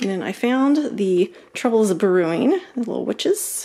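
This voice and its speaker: Her intonation lively, a woman speaks. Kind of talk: casual haul vlog chat. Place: home room. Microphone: phone near.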